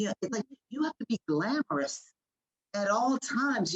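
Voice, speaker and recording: A woman speaks at medium pitch and a moderate pace, somewhat breathy. The sound is dry and close, with no echo. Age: 50s. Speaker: panelist. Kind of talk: panel discussion. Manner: animated.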